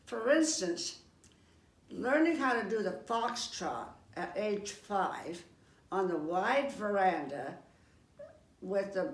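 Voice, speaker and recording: A woman at a very slow pace and medium pitch, her pitch swinging very widely, with audible room echo and noticeable background noise. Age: 90s. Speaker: senior cookbook participant. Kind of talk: personal reminiscence.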